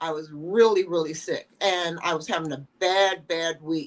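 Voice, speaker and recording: A woman with a normal speaking voice, a fairly slow pace and ordinary pitch variation. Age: 60s. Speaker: fashion model. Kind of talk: interview.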